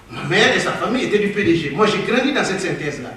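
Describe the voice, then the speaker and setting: Over noticeable background noise and audible room echo, a man speaks in a high pitch with lively intonation. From Guinea, Kouroussa. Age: 60s. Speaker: former government minister, panelist. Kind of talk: conference talk. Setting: conference hall with audience.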